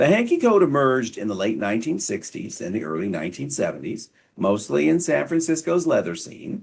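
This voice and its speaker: Talking at a fairly quick pace, a man uses vocal fry and very wide pitch swings. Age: 50s; old. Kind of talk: casual educational talk to camera. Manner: wry, humorous.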